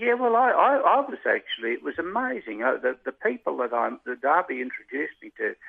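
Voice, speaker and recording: Speaking with an Australian accent, a man moves at a fairly quick pace. He leaves hardly any pauses. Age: 70s. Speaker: retired jockey. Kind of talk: interview.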